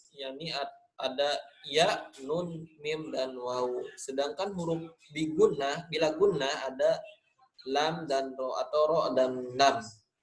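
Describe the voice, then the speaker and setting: Speaking very slowly with a Sundanese accent, a man uses a fairly high pitch and fairly even intonation. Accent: Sundanese-accented Indonesian, nasal. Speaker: Quran recitation teacher. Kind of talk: online lesson. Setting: online class recording. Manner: casual, conversational.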